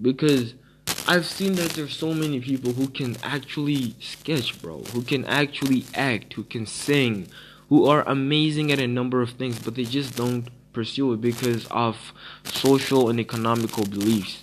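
Speaking at a moderate pace, a man talks at a medium pitch. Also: ordinary pitch variation. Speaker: podcast host. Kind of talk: casual monologue.

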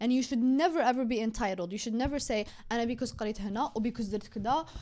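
In an Algerian accent, a woman talks at a fairly quick pace. Her pitch is fairly high, with ordinary pitch variation. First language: Algerian Arabic. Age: 20s. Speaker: podcast host. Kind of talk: casual chat.

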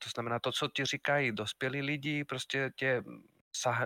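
Bright and sharp in tone, this man's voice sits at medium pitch. He speaks with a Spanish accent. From Spain, Madrid. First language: Spanish (speaking Czech). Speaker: university lecturer and game publisher. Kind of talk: casual interview.

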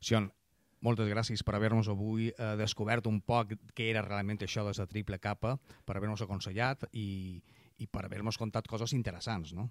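A man speaks at a moderate pace in a fairly low pitch with a Mallorcan accent and monotone, flat intonation. The recording is very clean with a silent background and a dry, close sound with no echo. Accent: Mallorcan Catalan. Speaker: radio host. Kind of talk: radio interview.

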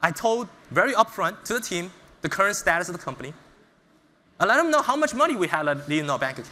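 A man with an American accent speaks in a raised, projected voice, high in pitch and bright and sharp in tone. He talks at a very fast pace with very wide pitch swings and long, frequent pauses. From US Northeast (Brooklyn, New York). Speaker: startup founder and CEO. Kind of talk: motivational talk. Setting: stage with audience.

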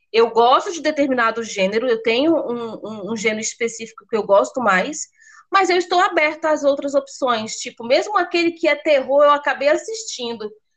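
The woman's pitch is high, with very wide swings. She goes at a moderate pace. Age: 30s. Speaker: podcast host. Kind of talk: casual chat.

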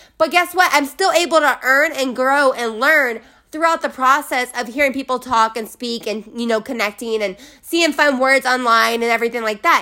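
A woman speaks at a moderate pace in a raised, projected voice with a bright, sharp tone. Her high pitch shows ordinary variation, and her delivery is animated. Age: 20s. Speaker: podcast host. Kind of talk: motivational solo monologue.

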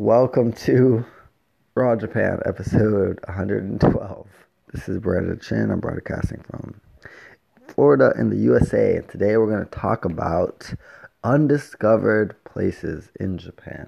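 Putting on a character voice, a man speaks at a fairly slow pace, raspy and fairly low in pitch, with big swings in loudness.

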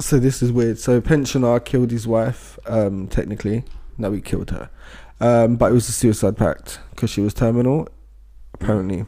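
A man with a British accent, medium-pitched, dark and mellow in tone, at a moderate pace with fairly even intonation, on a very clean recording with a silent background. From Britain. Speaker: podcast co-host. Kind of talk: casual chat.

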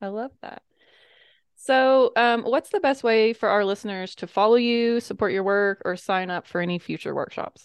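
With an American accent, a woman speaks at a moderate pace with ordinary pitch variation and big swings in loudness against a quiet background. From US South. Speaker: podcast host. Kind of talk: interview conversation.

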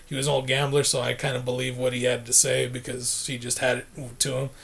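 A man speaks at a fairly quick pace in a monotone, flat intonation. There is noticeable background noise. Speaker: guest. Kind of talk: casual chat.

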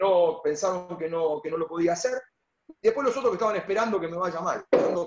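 A man at a very fast pace, high in pitch. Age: 50s. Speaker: basketball coach. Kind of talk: radio interview.

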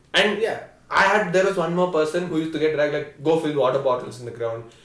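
Against noticeable background noise, a man talks at a very fast pace with a high pitch. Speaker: college student. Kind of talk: casual chat.

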